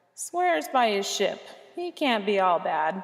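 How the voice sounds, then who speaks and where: A put-on character voice at a fairly slow pace, with very wide swings in pitch. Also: woman, medium pitch for a woman. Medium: read story. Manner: bold, commanding.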